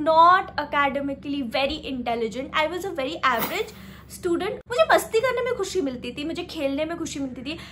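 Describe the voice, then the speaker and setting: The woman's intonation is lively. She keeps to a moderate pace. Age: 20s. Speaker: self-help vlogger. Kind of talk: casual motivational talk.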